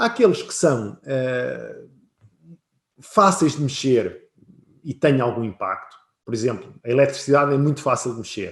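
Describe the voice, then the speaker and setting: A man with a European Portuguese accent speaks in a fairly high, somewhat breathy voice, with lively intonation, big swings in loudness, and long, frequent pauses. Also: fairly slow pace. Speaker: business consultant. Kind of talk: webinar presentation.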